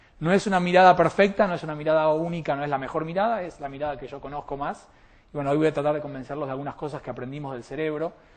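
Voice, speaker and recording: A man with an Argentine accent at a very fast pace, ordinary pitch variation, quiet background. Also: fairly high pitch for a man. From Argentina. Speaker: molecular biologist and speaker. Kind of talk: public talk.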